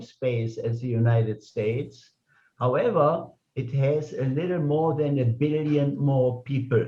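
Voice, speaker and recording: Somewhat breathy man with a German accent, fairly high in pitch, fairly slow, with ordinary pitch variation. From Germany. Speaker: club meeting host. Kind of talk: speaker introduction.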